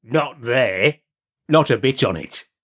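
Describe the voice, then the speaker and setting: A man uses a put-on character voice at medium pitch. His intonation is lively. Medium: read story. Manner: gruff interjections, dark humour.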